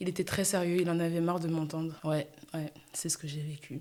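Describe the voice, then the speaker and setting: A woman speaks with a fairly low pitch. Her tone is dark and mellow. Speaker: podcast host. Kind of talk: casual solo podcast monologue. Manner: loud; animated.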